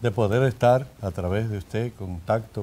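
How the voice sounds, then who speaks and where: This voice has a Dominican accent and a dark, mellow tone. It moves at a fairly slow pace with ordinary pitch variation. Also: man. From Dominican Republic, Salcedo; Dominican Republic. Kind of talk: interview; interview answer. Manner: halting. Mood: warm, content, grateful. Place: studio. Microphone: lapel.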